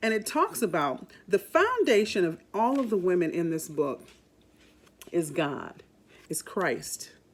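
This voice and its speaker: At a fairly slow pace and medium pitch for a woman, a woman talks with very wide pitch swings over noticeable background noise. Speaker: radio host and voice talent. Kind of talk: podcast introduction talk. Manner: warm, upbeat.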